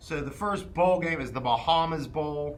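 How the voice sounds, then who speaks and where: In a room with audible echo, a man speaks at a fairly slow pace with a fairly high pitch. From southwestern Pennsylvania, Charleroi. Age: 20s. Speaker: sports podcast co-host. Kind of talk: casual sports chat. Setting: podcast recording.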